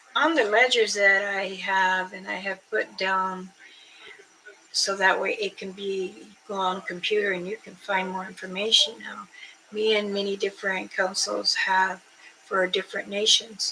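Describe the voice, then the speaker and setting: A woman speaks at a medium pitch and a fairly slow pace with monotone, flat intonation. Her loudness swings widely, and background noise is noticeable. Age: 60s. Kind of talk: casual livestream chat. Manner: rambling, halting.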